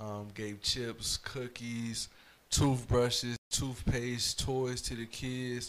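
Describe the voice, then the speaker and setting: In an American accent, the speaker talks at a very slow pace with monotone, flat intonation. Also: man, medium pitch for a man. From Fayetteville, North Carolina. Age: 20s. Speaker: spoken word poet and mentor. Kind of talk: casual chat.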